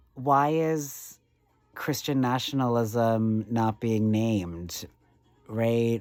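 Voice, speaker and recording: Ordinary pitch variation and a very slow pace from a man at a medium pitch. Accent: American. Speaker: vlogger. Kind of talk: casual monologue. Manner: hesitant, filler-heavy.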